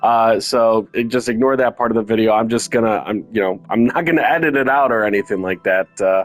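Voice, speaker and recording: A man speaks at a medium pitch with ordinary pitch variation. His loudness stays very even, and music plays in the background. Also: fairly quick pace, hardly any pauses. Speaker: gaming video creator. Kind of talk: casual chat. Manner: hesitant, many fillers.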